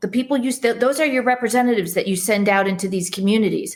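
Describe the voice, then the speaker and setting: In a Chicago accent, a woman talks at a very fast pace with a fairly high pitch. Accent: Chicago American English. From US Midwest (Chicago).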